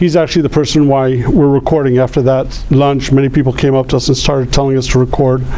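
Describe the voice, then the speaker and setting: A man with a medium pitch speaks very fast in a monotone, flat intonation, with very even loudness and hardly any pauses, over noticeable background noise. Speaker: real estate agent. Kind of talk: interviewer at lunch talk.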